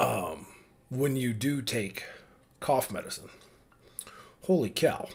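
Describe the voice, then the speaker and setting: With long, frequent pauses, a somewhat breathy man at a medium pitch speaks with lively intonation. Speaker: vlogger father. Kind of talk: casual monologue. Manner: halting.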